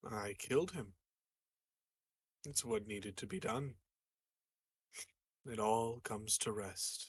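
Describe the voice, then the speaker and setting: Putting on a raspy character voice at medium pitch, a man speaks at a fairly slow pace with long, frequent pauses. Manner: monotone, calm.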